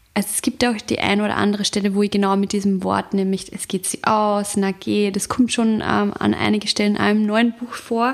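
Against noticeable background noise, a woman with an Upper Austrian accent speaks at medium pitch and a fairly quick pace, with monotone, flat intonation and hardly any pauses. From Upper Austria, rural. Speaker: novelist and journalist. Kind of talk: interview.

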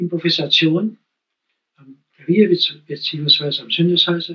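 A man's voice with a high pitch. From Thuringia, Thuringian Forest (Steinheid). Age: 80s. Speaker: poet and retired music teacher. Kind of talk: interview. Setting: at the guest's home.

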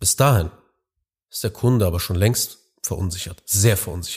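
At a moderate pace, a man with a fairly low, somewhat breathy voice and ordinary pitch variation speaks on a very clean recording with a silent background. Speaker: business podcast host and consultant. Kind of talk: solo monologue podcast.

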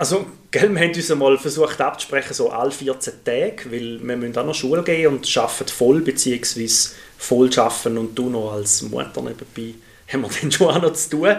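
There is noticeable background noise behind the speaker. A man talks with lively intonation. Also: medium pitch for a man, fairly quick pace. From Switzerland, Thurgau. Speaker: primary school teacher, podcast co-host. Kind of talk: casual chat.

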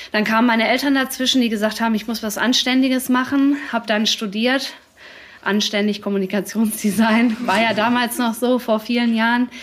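A woman's fairly high voice, flat and monotone, at a moderate pace over noticeable background noise. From Dortmund, Ruhr area, Germany. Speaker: café owner, former designer. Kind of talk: live podcast interview. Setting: live event in her café with audience.

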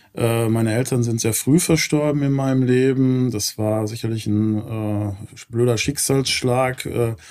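The speech moves at a very slow pace with fairly even intonation. Noticeable background noise sits behind it. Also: man, medium pitch for a man. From Ruhr area, Gelsenkirchen. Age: 50s. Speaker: real estate company founder. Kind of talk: interview.

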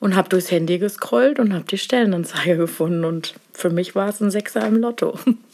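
A woman of medium pitch at a fairly quick pace, ordinary pitch variation, hardly any pauses, noticeable background noise behind her. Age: 50s. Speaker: nurse. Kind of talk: casual interview. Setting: office.

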